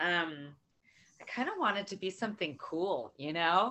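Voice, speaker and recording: A woman speaks with an American accent in an unremarkable speaking voice. Her pace is fairly slow, and her pitch varies in an ordinary way. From US, California. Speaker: circle participant. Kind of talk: casual sharing in support circle.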